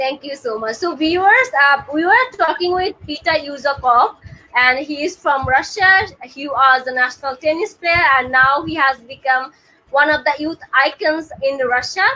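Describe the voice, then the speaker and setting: This woman's raised, projected voice sits high in pitch with a bright, sharp tone. She keeps a moderate pace. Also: ordinary pitch variation. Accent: Bengali. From Bangladesh. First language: Bengali. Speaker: talk show host. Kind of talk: live interview.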